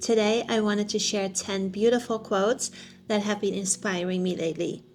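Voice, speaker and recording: Music plays in the background as a woman speaks at a moderate pace. Her medium pitch shows ordinary variation. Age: 50s. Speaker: personal growth vlogger. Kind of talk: casual talk to camera.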